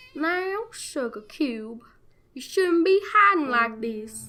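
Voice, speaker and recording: A female-sounding, put-on character voice talks at a very slow pace and a high pitch. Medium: read story. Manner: low, dark tone.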